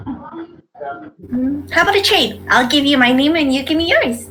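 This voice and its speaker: A female-sounding, put-on character voice, high-pitched and bubbly, at a moderate pace. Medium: actual play. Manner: bubbly, eager.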